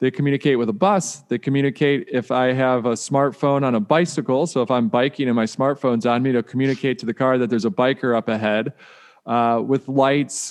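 A man with an unremarkable speaking voice at a fairly quick pace, with ordinary pitch variation and a dry, close sound with no echo. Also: medium pitch for a man. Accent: American. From US Midwest, Detroit. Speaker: author and keynote speaker. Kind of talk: podcast interview.

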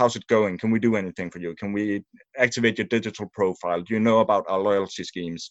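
A man with a Danish accent, a fairly low pitch and fairly even intonation. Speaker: media sales and service manager. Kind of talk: interview. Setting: remote recording.

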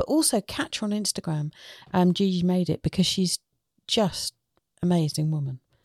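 A somewhat breathy woman at medium pitch with lively intonation, a moderate pace and long, frequent pauses, dry and close with no echo, on a very clean recording with a silent background. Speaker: podcast host. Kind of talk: casual chat. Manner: animated.

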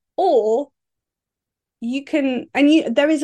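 Against a quiet background, a woman with a southern English accent speaks with ordinary pitch variation. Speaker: business coach. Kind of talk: solo podcast monologue. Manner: casual, with fillers and laughs.

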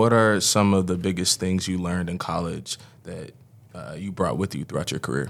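This man's voice sits at a very deep, low pitch. The pitch varies in an ordinary way. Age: 20s. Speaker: college basketball player. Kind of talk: interview.

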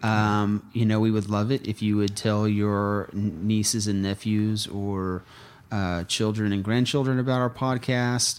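In a very clean recording with a silent background, a man with an American accent uses a normal speaking voice at a fairly low pitch, speaking at a fairly slow pace with fairly even intonation and very even loudness. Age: 30s. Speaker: lawyer and think tank podcast co-host. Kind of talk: casual chat.

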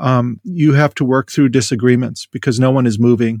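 This is an unremarkable speaking voice with an American accent. The pace is fairly quick. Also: man. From US Midwest, rural North Dakota. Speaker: theology professor. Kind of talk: interview.

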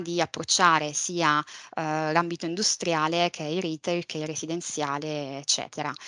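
A woman's bright, sharp voice, fairly low in pitch, moves at a moderate pace in a dry, close sound with no echo. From Sicily, Palermo. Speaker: property manager in logistics real estate. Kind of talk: interview. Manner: hesitant, many fillers.

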